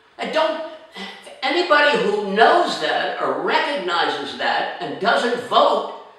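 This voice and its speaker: The speaker talks very slowly in an American accent. Noticeable background noise and audible room echo fill the recording. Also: man. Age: 80s+. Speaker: actor and film director. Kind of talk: political appeal to camera. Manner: animated.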